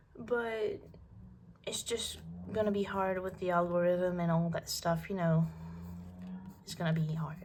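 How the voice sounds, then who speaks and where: A woman's fairly low, somewhat breathy voice at a fairly slow pace, fairly even in intonation, with long, frequent pauses and audible room echo. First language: not English. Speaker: art vlogger. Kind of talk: casual chat while drawing. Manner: halting.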